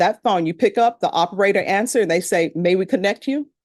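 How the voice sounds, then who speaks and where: Against a quiet background, a woman with a Louisiana accent talks at a moderate pace in a medium pitch with lively intonation. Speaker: judge. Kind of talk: address to jury panel. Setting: courtroom. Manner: conversational.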